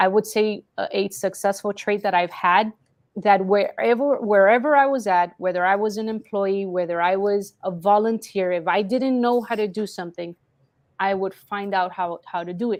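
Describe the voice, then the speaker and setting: A woman with a Spanish accent speaks at a moderate pace, her pitch varying in an ordinary way. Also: medium pitch for a woman. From Colombia, Cali. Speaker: marketing business owner. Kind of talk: interview.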